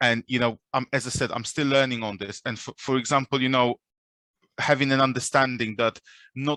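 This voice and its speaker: A man with a non-native accent speaks in a medium pitch with a bright, sharp tone and monotone, flat intonation, in a very clean recording with a silent background and a dry, close sound with no echo. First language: not English. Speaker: recruiter. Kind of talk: panel discussion. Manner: halting.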